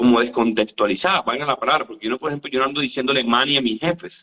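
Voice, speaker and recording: A man's very fast delivery with lively intonation. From Colombia, northeast (Santander) and Caribbean coast. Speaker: university lecturer. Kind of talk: casual chat.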